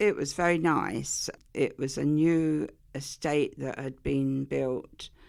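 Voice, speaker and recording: A woman with an Essex accent is heard on a very clean recording with a silent background. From Essex, England. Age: 80s+. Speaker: interviewee sharing childhood memories. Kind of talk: oral history interview.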